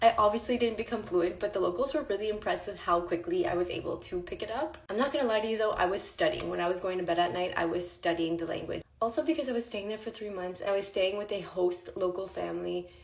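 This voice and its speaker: Through noticeable background noise, a woman at a medium pitch talks very fast with hardly any pauses and ordinary pitch variation. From Ontario, Canada (Franco-Ontarian). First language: French. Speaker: vlogger. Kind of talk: casual chat.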